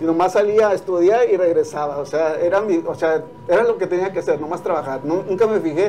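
Noticeable background noise sits under this man's voice. He speaks fairly quickly at a high pitch with ordinary variation. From Mexico, Puebla. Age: 40s. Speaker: chef. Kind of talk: casual interview. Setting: restaurant.

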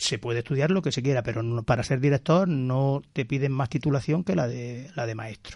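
A man talks at a medium pitch and a moderate pace, with hardly any pauses. His voice is somewhat breathy, with ordinary pitch variation. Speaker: school principal. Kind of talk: radio interview. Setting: radio studio.

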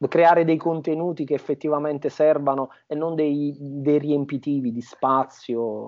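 A man with a Campanian accent, fairly high in pitch, in a monotone, flat intonation with hardly any pauses. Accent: southern Italian (Campanian). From southern Italy, Campania (Avellino province). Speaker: Italian teacher. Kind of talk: interview conversation. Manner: halting, with repetitions and fillers.

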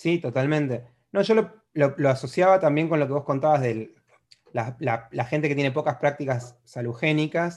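With an Argentine accent, a man speaks at a moderate pace, his pitch fairly high with ordinary pitch variation. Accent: Argentine Spanish (Rioplatense). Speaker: psychology podcast host. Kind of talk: solo introduction; casual interview.

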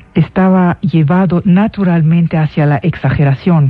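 A woman's fairly slow speech with ordinary pitch variation and noticeable background noise. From Syria (Damascus). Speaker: radio host and lecturer. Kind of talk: radio lecture.

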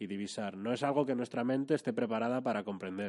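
Speaking at a fairly quick pace, a man uses an unremarkable speaking voice at a medium pitch with ordinary pitch variation. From Madrid, Spain. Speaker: youtuber. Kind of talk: casual chat. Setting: office.

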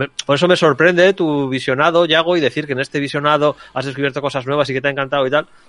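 Rattling along at a very fast pace with hardly any pauses, a man speaks in a fairly high pitch with fairly even intonation and a dry, close sound with no echo. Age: 40s. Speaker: film podcast panelist. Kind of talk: casual chat.

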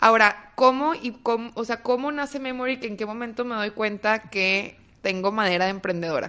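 Hardly pausing, a woman with a fairly high pitch speaks in a normal speaking voice at a moderate pace with ordinary pitch variation. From Mexico, Torreón (Coahuila). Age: 30s. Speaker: entrepreneur, startup founder. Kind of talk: casual interview.

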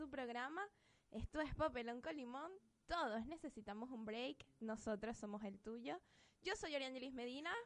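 The speaker has lively intonation and a Venezuelan accent. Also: woman, high pitch for a woman, moderate pace. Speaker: internet radio co-host. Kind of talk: casual chat.

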